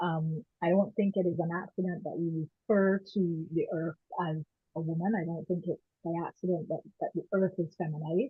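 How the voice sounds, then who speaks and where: Her pitch sits fairly low for a woman, and her intonation stays fairly even. She keeps a moderate pace. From Barbados and Canada. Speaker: women's rights activist. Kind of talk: panel discussion.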